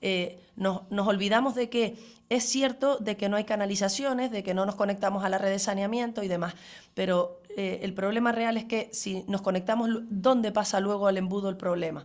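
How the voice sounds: Speaking at a fairly quick pace with few pauses, a woman keeps a medium pitch and fairly even intonation.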